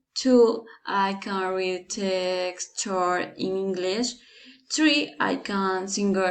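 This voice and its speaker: Speaking very slowly with a Colombian accent, a woman keeps her voice at a medium pitch. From Colombia, Bogotá. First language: Spanish. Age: 20s. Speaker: language student. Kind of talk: class assignment presentation. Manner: halting, many hesitations.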